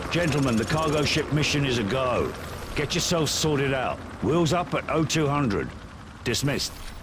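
With a British accent, a man talks at a moderate pace in a fairly high pitch, his loudness very even and his pitch variation ordinary, over noticeable background noise. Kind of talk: drill instructor barking orders in a scripted game scene. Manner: gruff and sarcastic when berating the recruit.

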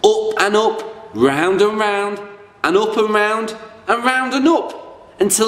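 Natural-voiced reading aloud, full of lively intonation

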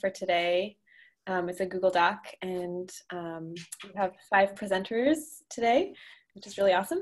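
A woman's medium-pitched voice, warm and enthusiastic in tone, with ordinary pitch variation, big swings in loudness and a quiet background. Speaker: meetup co-host and organizer. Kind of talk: online group meetup moderation. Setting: video call. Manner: warm, enthusiastic. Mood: warm, cheerful. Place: home room. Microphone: video call.

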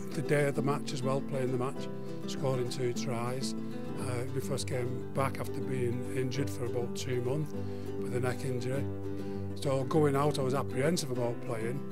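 Loud music plays in the background as a man speaks. His pace is moderate and his pitch varies in an ordinary way. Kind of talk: interview answer. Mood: fond, reminiscing.

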